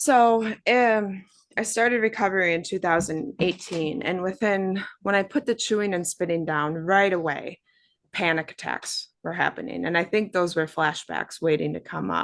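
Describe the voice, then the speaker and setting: A woman with a plain, everyday voice speaks at a moderate pace, her medium pitch moving with ordinary variation over a quiet background. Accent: American. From Wisconsin, US Midwest. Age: 30s. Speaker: abuse survivor and artist. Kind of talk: testimony.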